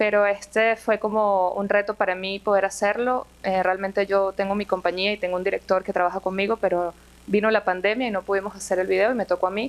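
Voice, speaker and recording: Over music in the background, a woman rushes along very fast with hardly any pauses, her medium-pitched voice flat and monotone. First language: Spanish. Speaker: music video director. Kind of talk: Q&A panel at film festival.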